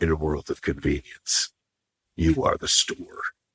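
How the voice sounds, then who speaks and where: A man's put-on character voice at a moderate pace. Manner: dramatic, epic.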